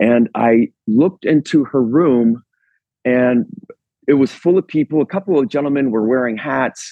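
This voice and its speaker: With an American accent and a plain, everyday voice, a man speaks at a moderate pace and medium pitch, with ordinary pitch variation and very even loudness. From central Pennsylvania. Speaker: artist, caller. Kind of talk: storytelling.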